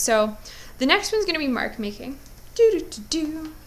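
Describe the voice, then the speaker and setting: A bright, sharp tone rings out with audible room echo. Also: woman. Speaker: art teacher. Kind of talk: tutorial. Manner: casual, filler-heavy.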